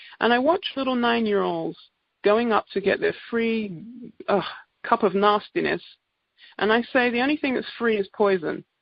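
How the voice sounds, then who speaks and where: A woman speaks with an English accent at a fairly high pitch and a moderate pace. Her intonation is lively, broken by long, frequent pauses. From England. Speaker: naturopath giving product presentation. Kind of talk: sales presentation.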